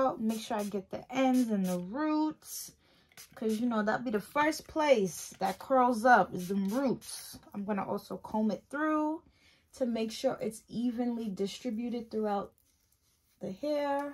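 This woman talks fairly slowly, her pitch varying in an ordinary way. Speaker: hair care vlogger. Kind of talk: casual tutorial vlog chat. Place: home room. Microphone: phone near.

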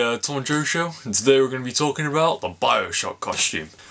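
A fairly quick-paced man, ordinary in pitch variation. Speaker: show host. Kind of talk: casual vlog chat. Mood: relaxed, enthusiastic. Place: home room.

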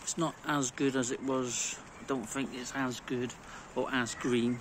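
A man at a fairly slow pace, dry sound with no echo, and noticeable background noise. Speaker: home lawn care vlogger. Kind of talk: casual vlog chat. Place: garden. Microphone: phone near.

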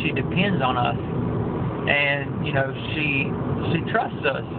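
Amid loud background noise, a man talks at a fairly slow pace. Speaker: lay preacher. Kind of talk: informal sermon. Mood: earnest, calm, devotional. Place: car. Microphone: phone near.

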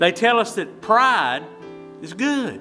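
Faint music plays in the background as a man with an American accent speaks in a raised, projected voice. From Tennessee, United States. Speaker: Baptist pastor. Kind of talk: sermon. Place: church.

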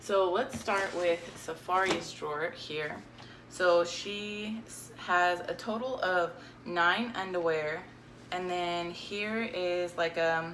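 A woman speaks at a fairly low pitch with ordinary variation. Light background noise is present. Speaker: minimalism vlogger. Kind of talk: casual vlog chat. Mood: cheerful, relaxed. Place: home room. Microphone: phone near.

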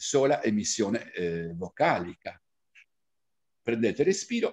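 With a quiet background behind him, a man is speaking. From Cagliari, Sardinia, Italy. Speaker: diction teacher and reciter. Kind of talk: diction lesson. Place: home room. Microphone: webcam.

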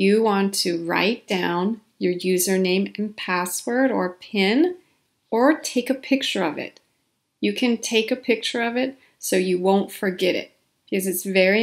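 A woman speaks at a fairly slow pace, her pitch medium with ordinary variation. The recording is very clean, with a silent background. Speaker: ESL instructor. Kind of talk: tutorial.

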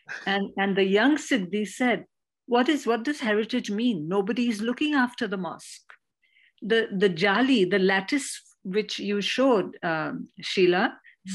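An unremarkable speaking voice from a woman at medium pitch, fairly slow, with ordinary pitch variation and a quiet background. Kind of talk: panel discussion. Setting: video call.

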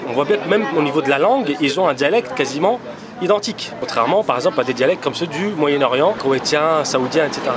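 With noticeable background noise, a man speaks very fast at a fairly high pitch, his intonation lively. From Paris suburbs (Argenteuil); Paris. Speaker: lawyer and law lecturer; lawyer, law lecturer. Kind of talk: casual chat. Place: cafe. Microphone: phone near.

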